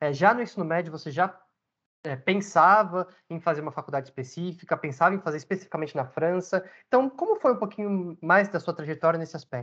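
Very fast speech over a quiet background. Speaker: podcast host. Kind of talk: casual interview.

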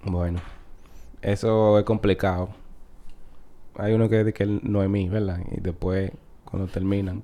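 A man with a Dominican accent, fairly low-pitched, dark and mellow in tone, monotone and flat, at a fairly slow pace with long, frequent pauses, over a quiet background. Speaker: comedian. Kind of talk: casual chat.

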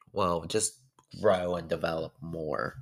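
At a fairly slow pace, a man with an American accent talks in a very deep, low voice on a very clean recording with a silent background. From DMV area (Maryland/DC). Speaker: podcaster. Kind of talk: personal monologue. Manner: casual, repetitive filler.

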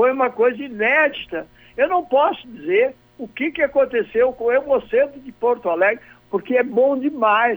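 A man's voice, extremely high in pitch for a man, with ordinary pitch variation. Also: moderate pace. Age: 80s+. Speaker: businessman and blood donation campaigner. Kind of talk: radio interview.

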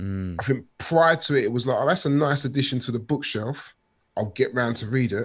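A man with a London accent, medium pitch and ordinary pitch variation, talking at a fairly quick pace against a quiet background. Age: 40s. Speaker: author and youth worker. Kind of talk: interview.

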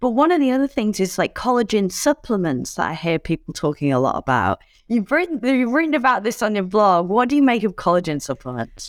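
In an English accent, a woman speaks at a fairly quick pace with hardly any pauses, very even loudness and very wide pitch swings, in a very clean recording with a silent background and a dry, close sound with no echo. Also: fairly high pitch for a woman. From England. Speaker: podcast host. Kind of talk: interview. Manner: animated.

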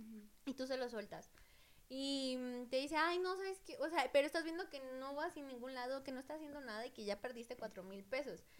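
This woman's voice is high-pitched, with lively intonation and big swings in loudness. Her pace is fairly quick. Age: 20s. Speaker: tattoo artist. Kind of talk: casual chat.

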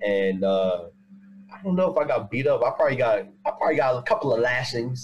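Over noticeable background noise, a man talks very fast at a medium pitch, his voice swinging very widely. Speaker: panelist. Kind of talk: casual chat. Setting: video call.

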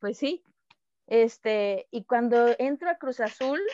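A high-pitched woman talks at a fairly slow pace with ordinary pitch variation. The sound is dry and close with no echo, and the background is quiet. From Mexico, Tabasco. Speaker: professional footballer. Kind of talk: casual interview. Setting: call.

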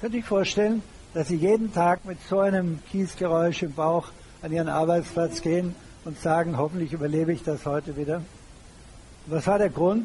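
The speaker is a man with a high pitch. He keeps a moderate pace and ordinary pitch variation. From Germany. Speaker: retired banker and public speaker. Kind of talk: lecture.

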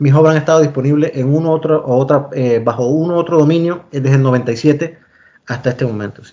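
A man's ordinary speaking voice, fairly high in pitch, at a fairly quick pace, with fairly even intonation and big swings in loudness. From Panama, Los Santos province. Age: 40s. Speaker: engineer and writer. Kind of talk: interview.

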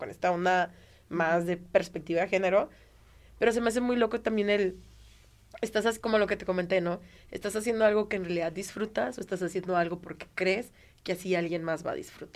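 Talking at a fairly quick pace in a Mexican accent, a woman uses medium pitch and ordinary pitch variation. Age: 30s. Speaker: stand-up comedian. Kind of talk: casual interview chat.

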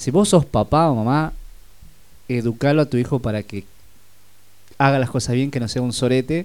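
With a medium pitch, the man speaks at a moderate pace. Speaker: radio host. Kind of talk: casual chat.

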